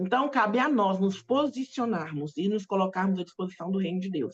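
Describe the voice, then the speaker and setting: A woman at a moderate pace, with a Brazilian accent. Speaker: pastor. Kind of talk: sermon. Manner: halting.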